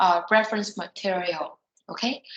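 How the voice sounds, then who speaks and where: Somewhat breathy, a woman with a medium pitch speaks at a moderate pace. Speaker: software trainer. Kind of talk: online training session.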